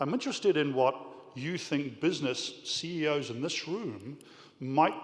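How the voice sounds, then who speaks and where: A man with a New Zealand accent at a moderate pace, with ordinary pitch variation and audible room echo. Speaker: business leader, audience questioner. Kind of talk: audience question at panel. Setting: conference hall with audience.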